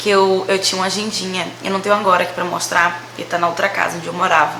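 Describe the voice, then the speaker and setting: A woman speaks very fast in a medium-pitched voice, her intonation monotone and flat. Noticeable background noise and audible room echo are present. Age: 20s. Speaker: vlogger. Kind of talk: casual storytelling vlog.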